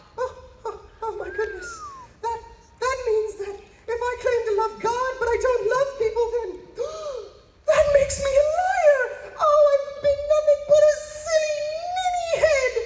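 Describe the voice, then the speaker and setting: Putting on a character voice, a man speaks at an extremely high pitch and moderate pace, with long, frequent pauses. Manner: excitable, fussy.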